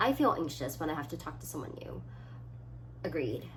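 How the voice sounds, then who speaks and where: Moderately paced speech from a woman in audible room echo. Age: 20s. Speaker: student YouTuber. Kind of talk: casual vlog, reading quiz items aloud. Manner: animated, uses hands.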